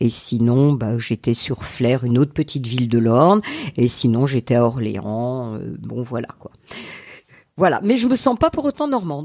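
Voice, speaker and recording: Speaking at a fairly slow pace, a woman with a very deep, low pitch uses ordinary pitch variation. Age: 60s. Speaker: retired teacher. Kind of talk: interview. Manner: halting.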